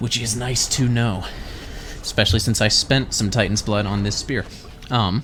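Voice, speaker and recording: Over noticeable background noise, a man of medium pitch talks at a moderate pace with fairly even intonation and long, frequent pauses. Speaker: gaming video creator. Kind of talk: let's play commentary. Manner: casual, conversational.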